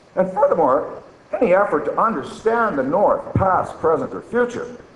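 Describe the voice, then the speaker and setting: A man at a moderate pace, amid audible room echo and noticeable background noise. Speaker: archaeologist. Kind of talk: conference talk, reading an essay extract. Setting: conference with audience and microphone. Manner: loud.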